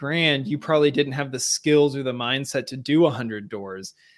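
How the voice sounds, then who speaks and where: A man with an unremarkable speaking voice, fairly high pitch, ordinary pitch variation, and a moderate pace on a very clean recording with a silent background. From Seattle, Washington, US Pacific Northwest. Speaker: real estate agent and former Olympic rower. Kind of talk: interview.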